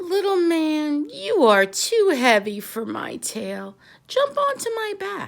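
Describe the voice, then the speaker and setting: A woman puts on a character voice pitched high. She talks at a fairly slow pace. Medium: read story. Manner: sly, honeyed.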